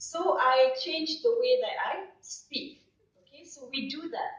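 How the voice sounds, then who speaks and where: A woman with a Malaysian accent, very wide pitch swings, and a moderate pace, amid audible room echo. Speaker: professor. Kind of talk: conference presentation. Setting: stage with audience. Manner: animated.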